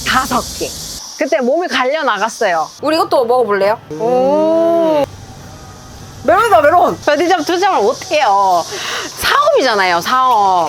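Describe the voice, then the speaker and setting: This woman has a high voice that swings very widely in pitch, at a moderate pace. Her tone is cheerful, and there is noticeable background noise. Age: 30s. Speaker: convenience store owner. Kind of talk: interview answer. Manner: bright, cheerful.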